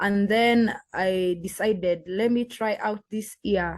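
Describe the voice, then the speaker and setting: A woman with a Kenyan accent, medium pitch, ordinary pitch variation and a very slow pace. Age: young. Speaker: green card lottery applicant. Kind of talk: interview. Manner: halting.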